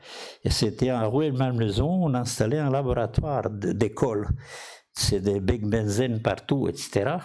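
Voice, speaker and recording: A man speaks at a medium pitch, with audible room echo. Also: ordinary pitch variation. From outside France. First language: not French (speaking French). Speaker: physician and inventor. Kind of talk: conference talk. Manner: halting.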